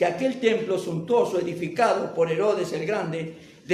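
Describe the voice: What is heard here is plain reading aloud.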